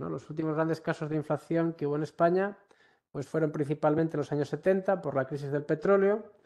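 A man with a Galician accent, fairly high pitch and a dark, mellow tone, fairly even intonation and a fairly quick pace over a quiet background. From Galicia, Ourense; Galicia, Spain. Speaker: university professor. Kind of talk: online workshop lecture. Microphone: video call.

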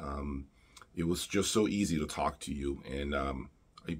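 Pitch shifts in an ordinary way as a man talks. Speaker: audio reviewer. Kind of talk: casual vlog chat. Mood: grateful, sincere. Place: home room.

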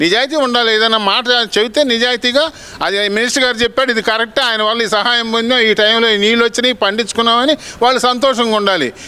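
A man in an angry tone uses a raised, projected voice at an extremely high pitch, with fairly even intonation. His loudness stays very even over noticeable background noise. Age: 70s. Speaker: farmer. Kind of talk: street interview answer. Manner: angry, blunt.

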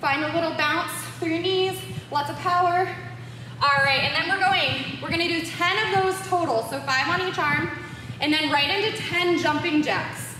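A woman with an extremely high pitch speaks in a raised, projected voice at a moderate pace, her tone upbeat and her pitch variation ordinary. Audible room echo and light background noise surround her. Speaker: fitness instructor. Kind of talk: live-cued home boxing workout instruction, counting reps and cueing moves. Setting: home-workout video recorded in studio. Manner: upbeat, encouraging coach energy, pushing viewers through rounds; casual and playful, joking asides and laughter. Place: gym. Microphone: camera far.

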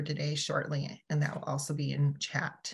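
The woman's voice sounds somewhat breathy. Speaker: webinar host. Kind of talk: webinar host introduction. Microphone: video call.

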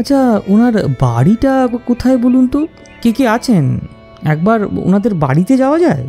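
Faint music plays behind a man doing a put-on character voice, pitched extremely high, at a moderate pace. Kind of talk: audio drama dialogue.

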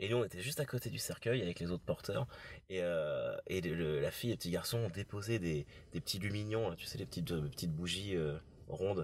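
Lively intonation marks this fairly brisk delivery. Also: man, very deep, low pitch for a man. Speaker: podcast host; former undertaker. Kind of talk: casual podcast conversation. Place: car.

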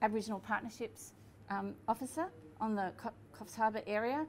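Light background noise sits under a voice with ordinary pitch variation. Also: woman. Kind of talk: casual explanation to camera. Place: cafe.

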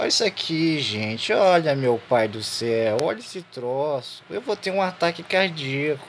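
The speech is fairly slow, with hardly any pauses and very wide pitch swings. Noticeable background noise is present. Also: man, fairly high pitch for a man. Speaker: gaming youtuber. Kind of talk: let's play commentary. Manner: animated.

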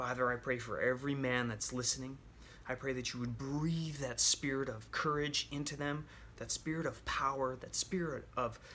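The tone is bright and sharp, the pace moderate and the intonation fairly even, with light background noise. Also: man. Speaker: men's ministry teacher. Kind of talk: sermon and spoken prayer. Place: home room. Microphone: phone near.

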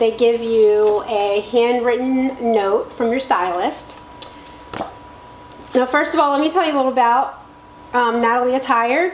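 A woman talks at a fairly slow pace with long, frequent pauses and a high pitch. Her pitch varies in an ordinary way, with audible room echo and light background noise. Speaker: home vlogger. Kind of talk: casual vlog chat. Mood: cheerful, laughing. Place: home room. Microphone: camera far.

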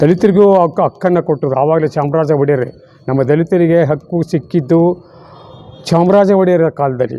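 Fairly high-pitched, a man's voice moves with ordinary pitch variation. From Mysuru, Karnataka, India. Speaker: author and amateur historian. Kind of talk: interview, historical account. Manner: halting, with frequent pauses.

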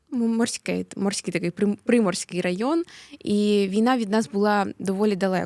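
Very clean, silent-background recording of a woman with a dark, mellow tone, medium pitch and ordinary pitch variation. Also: dry, close sound with no echo. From Mariupol, eastern Ukraine. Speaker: activist, daughter of a prisoner of war. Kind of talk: interview. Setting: studio.

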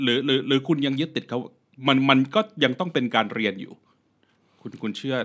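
This man has a normal speaking voice, medium in pitch, with ordinary pitch variation. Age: 40s. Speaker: podcast host. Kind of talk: casual chat.

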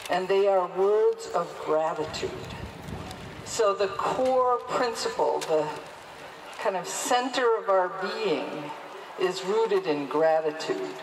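A woman's medium-pitched voice at a very slow pace, with long, frequent pauses, lively intonation, very even loudness, and noticeable background noise. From Mohawk (Haudenosaunee) and Quebecoise heritage. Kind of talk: speech at a protest rally. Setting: outdoors. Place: street.

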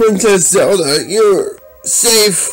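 Faint music plays in the background as a man speaks. He uses a put-on character voice with a high pitch.

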